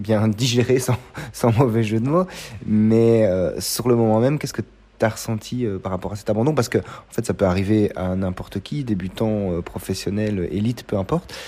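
A man's fairly low voice, a plain, everyday voice, at a fairly slow pace with ordinary pitch variation. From Belgium. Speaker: podcast host, amateur trail runner. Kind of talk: interview. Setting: café.

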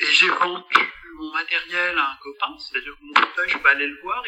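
A man at a moderate pace. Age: 60s. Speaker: dentist and comic artist. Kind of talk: casual chat.

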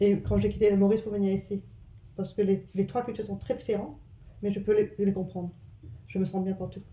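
In a dark, mellow, medium-pitched voice with vocal fry, a woman talks very fast in a monotone, flat intonation broken by long, frequent pauses. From Mauritius, part of childhood in England. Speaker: mother telling her life story. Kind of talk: family life-story interview. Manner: hesitant, many fillers.

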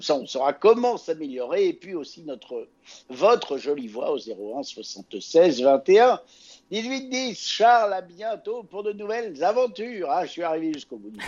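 A man's high-pitched voice, fairly slow, with very wide pitch swings and big swings in loudness. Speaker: podcast host. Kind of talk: casual chat.

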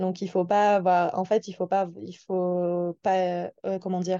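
Close and dry with no echo, the recording has a quiet background. A woman speaks at a fairly slow pace with a medium-pitched, dark, mellow tone. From France, Toulouse. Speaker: seasonal worker, waitress. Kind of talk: casual interview. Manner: hesitant, many fillers.

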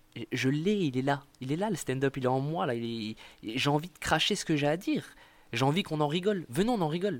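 The speaker goes at a very fast pace with lively intonation, on a very clean recording with a silent background. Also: man, big swings in loudness. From eastern France, Montbéliard. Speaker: stand-up comedian. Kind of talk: casual interview. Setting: in Marseille. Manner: halting, many repetitions.

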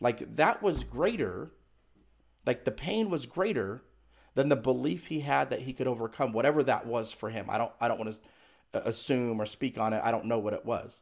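A very clean recording with a silent background holds a man's voice. He has a medium pitch and vocal fry and speaks at a fairly quick pace. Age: 40s. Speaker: inspirational speaker and author. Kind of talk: interview.

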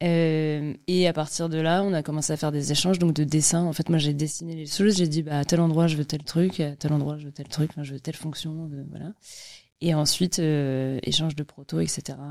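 A dark, mellow tone in monotone, flat intonation on a very clean recording with a silent background. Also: woman, very deep, low pitch for a woman, moderate pace. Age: 30s. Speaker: entrepreneur, company founder. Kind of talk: interview. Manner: casual.

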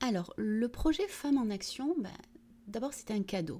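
A woman speaks at a moderate pace in a dark, mellow, somewhat breathy tone with lively intonation. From southern France, Vitrolles near Marseille. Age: 40s. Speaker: municipal economy and employment director. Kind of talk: interview. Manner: hesitant, many fillers.

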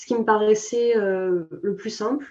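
A woman speaks at a very slow pace in a dark, mellow tone. Her voice is fairly high, with ordinary pitch variation. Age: 20s. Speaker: personal finance influencer. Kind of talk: interview. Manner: halting.

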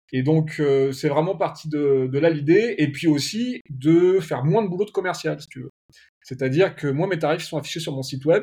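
A man talks at a fairly quick pace in a dark, mellow tone that is somewhat breathy, with ordinary pitch variation. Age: 30s. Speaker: video production agency owner. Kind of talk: casual interview.

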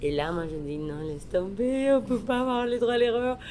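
Spoken at a fairly slow pace with lively intonation and a Spanish accent, the voice carries audible room echo. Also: woman. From Mexico. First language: Spanish (speaking French). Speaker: chef and restaurant owner. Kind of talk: interview. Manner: halting.

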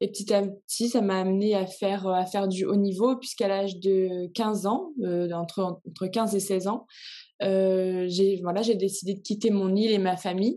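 A woman's dark, mellow tone at a medium pitch, with fairly even intonation. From Réunion. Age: 20s. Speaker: swimmer. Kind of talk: interview.

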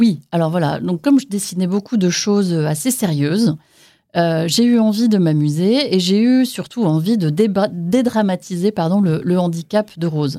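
Her tone dark and mellow, a woman speaks at a fairly slow pace with lively intonation and very even loudness. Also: medium pitch for a woman. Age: 40s. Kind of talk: testimony. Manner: hesitant.

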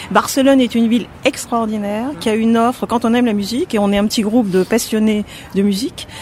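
Noticeable background noise sits under a woman speaking at a fairly quick pace with fairly even intonation. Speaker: retiree. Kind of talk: casual interview.

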